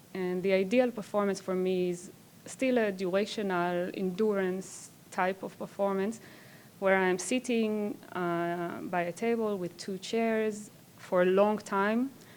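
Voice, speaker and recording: Fairly slow and fairly even in intonation, a woman of medium pitch speaks with a non-native accent. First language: not English. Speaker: performance artist. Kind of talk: conference talk. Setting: stage with audience. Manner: hesitant, with filler words.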